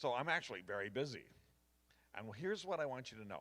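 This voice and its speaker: Vocal fry runs through a man's bright, sharp voice at medium pitch. He talks at a fairly quick pace with very wide pitch swings. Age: 70s. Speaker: retired pastor, guest preacher. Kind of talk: sermon. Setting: church with congregation. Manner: conversational, addresses audience directly.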